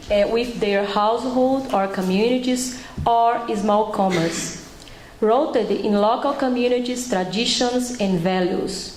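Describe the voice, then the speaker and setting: Speech in a Brazilian accent at a fairly slow pace, with ordinary pitch variation and very even loudness, comes with audible room echo and noticeable background noise. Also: woman, fairly high pitch for a woman. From Brazil, Bahia. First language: Portuguese. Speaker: public health researcher and doctor. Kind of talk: panel presentation. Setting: panel at a conference with audience. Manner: halting.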